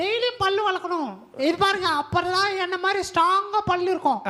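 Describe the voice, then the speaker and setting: A cartoonish character voice at an extremely high pitch, fairly slow in pace, over light background noise. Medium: puppet. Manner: playful, teasing.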